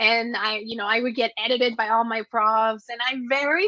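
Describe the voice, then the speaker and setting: A woman with a Spanish accent uses a bright, sharp tone and fairly high pitch at a moderate pace. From Mexico. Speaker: entrepreneur and business consultant. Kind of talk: interview.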